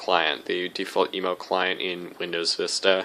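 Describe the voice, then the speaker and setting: A man talks at a moderate pace, and noticeable background noise can be heard behind him. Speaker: tech YouTuber. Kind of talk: tutorial. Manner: casual.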